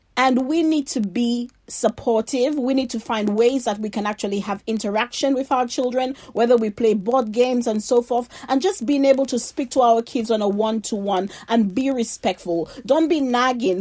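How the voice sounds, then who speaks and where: This woman has a fairly high voice, an animated tone and ordinary pitch variation. She speaks with hardly any pauses. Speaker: faith podcast host. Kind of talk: motivational talk. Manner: loud.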